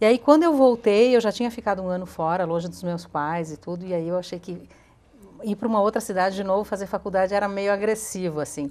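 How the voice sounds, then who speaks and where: Speech from a woman comes at a very fast pace. Ordinary pitch variation marks her delivery. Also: medium pitch for a woman. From southern Brazil, Rio Grande do Sul interior (Cotiporã, Caxias do Sul). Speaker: TV presenter. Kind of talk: interview.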